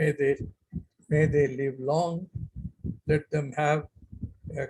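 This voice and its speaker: With an Indian accent, a man talks in a fairly high, somewhat breathy voice. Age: 80s+. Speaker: retired civil servant. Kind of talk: speech at online event. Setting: video call. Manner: slow, measured.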